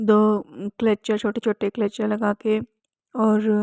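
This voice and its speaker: Recorded very cleanly with a silent background, a woman's voice has a dry, close sound with no echo. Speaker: vlogger. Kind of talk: casual vlog talk. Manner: hesitant.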